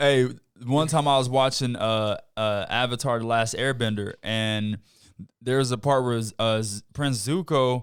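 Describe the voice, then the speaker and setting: The recording is very clean, with a silent background. A man speaks at a fairly slow pace in an unremarkable speaking voice of medium pitch, with fairly even intonation. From US Midwest, Chicago. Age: 30s. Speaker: pro basketball player. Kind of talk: casual chat.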